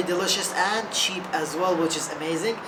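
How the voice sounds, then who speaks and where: With noticeable background noise and audible room echo, a woman talks at a medium pitch and moderate pace, keeping her intonation fairly even. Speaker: travel vlogger. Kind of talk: casual travel vlog.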